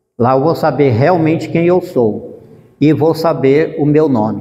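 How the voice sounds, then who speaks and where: The pitch variation is ordinary and the pace moderate. Noticeable background noise runs behind the voice. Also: man. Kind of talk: religious formation talk.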